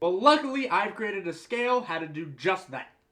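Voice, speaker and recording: A man with an American accent projects a raised voice with a bright, sharp tone, a high pitch, and very wide pitch swings. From United States. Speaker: movie reviewer. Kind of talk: explainer monologue. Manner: casual.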